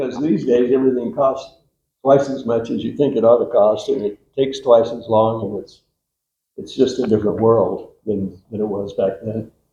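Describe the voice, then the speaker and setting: This man's dark, mellow, somewhat breathy voice sits at a medium pitch, moving at a moderate pace with ordinary pitch variation and big swings in loudness. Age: 80s+. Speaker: architect. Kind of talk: informal talk at meeting.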